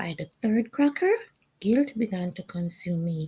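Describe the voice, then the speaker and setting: At a fairly slow pace, a woman with a fairly high pitch and a dark, mellow, somewhat breathy tone makes very wide pitch swings. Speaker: vlogger. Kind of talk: personal testimony vlog narration.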